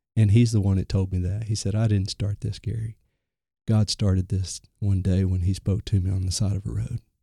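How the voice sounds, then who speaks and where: This man's voice is fairly low, somewhat breathy, and dark and mellow in tone, with monotone, flat intonation. He speaks at a moderate pace in a dry, close sound with no echo. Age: 30s. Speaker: ministry recovery coordinator. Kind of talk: interview. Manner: halting.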